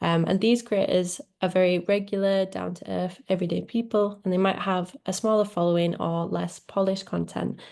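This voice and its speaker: With a Leeds accent, a woman speaks at medium pitch in a dark, mellow tone with fairly even intonation. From northern England, Leeds. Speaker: social media manager. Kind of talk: webinar presentation.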